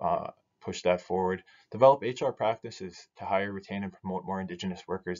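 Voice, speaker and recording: In a quiet background, a man with a Canadian Prairie accent talks at a fairly quick pace. His pitch is fairly low and his intonation fairly even. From northern Saskatchewan, Cree First Nation. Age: 30s. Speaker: business association director. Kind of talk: recorded presentation. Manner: hesitant, many fillers. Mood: relaxed, lightly humorous. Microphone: webcam.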